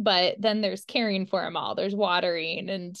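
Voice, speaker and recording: A woman speaks at a medium pitch and a moderate pace. Her pitch varies in an ordinary way against a quiet background. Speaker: occupational therapist. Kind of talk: online class presentation. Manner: casual, hesitant with many fillers.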